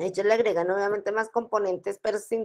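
A woman's fairly high voice, monotone and flat, at a moderate pace. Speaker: online course teacher. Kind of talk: lecture. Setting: video call.

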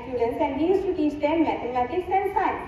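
Strong room echo and light background noise fill the recording. A woman speaks at an extremely high pitch. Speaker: speaker. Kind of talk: speech. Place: stage. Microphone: pa.

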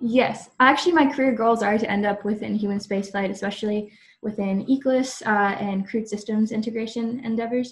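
A woman with a fairly high, somewhat breathy voice speaks at a fairly quick pace with fairly even intonation and hardly any pauses, in a quiet background. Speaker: aerospace engineering student. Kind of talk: panel discussion. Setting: video webinar. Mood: friendly, smiling. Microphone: video call.

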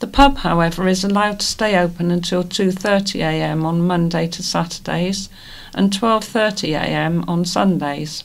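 A woman speaks slowly-ish in a plain, everyday voice, fairly low in pitch. Her pitch varies in an ordinary way. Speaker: volunteer news reader. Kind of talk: reading aloud.

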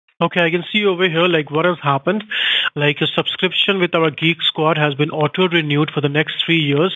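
Speaking with an Indian accent, a man keeps a fairly quick pace and very even loudness, his fairly high voice showing fairly even intonation. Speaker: phone scammer. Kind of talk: scam support call. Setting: phone call. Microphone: phone line.

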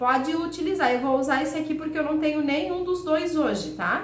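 A woman speaks in a high voice, with audible room echo and noticeable background noise. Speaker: cake decorator and baking YouTuber. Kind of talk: cooking tutorial. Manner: warm, chatty.

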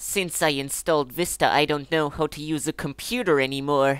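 In a put-on character voice at a low-to-middle pitch, the speaker is heard on a very clean recording with a silent background.

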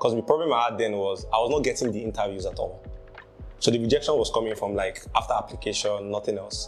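A man races through his words at a very fast pace while faint music sits in the background. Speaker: interviewee. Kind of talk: interview answer. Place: home room.

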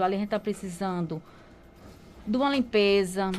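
A woman is speaking here. She keeps a moderate pace. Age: 50s. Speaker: market traders' association president. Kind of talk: radio interview. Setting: radio studio. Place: studio. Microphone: studio mic.

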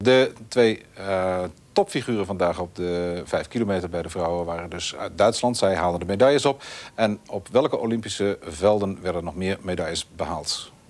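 A man with a very deep, low voice at a moderate pace, ordinary pitch variation, and music in the background. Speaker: TV presenter. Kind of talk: news presenting.

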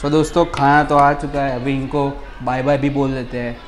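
Light background noise sits behind a man talking. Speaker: food vlogger. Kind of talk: casual vlog chat. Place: cafe. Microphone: lapel.

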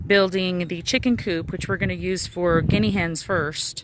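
A woman speaks with fairly even intonation over light background noise. The sound is dry, with no echo. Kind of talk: casual vlog chat. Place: open country. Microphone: phone near.

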